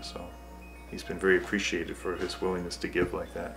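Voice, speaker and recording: Over background music, a man speaks very fast in a very deep, low voice with lively intonation. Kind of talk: documentary interview answer.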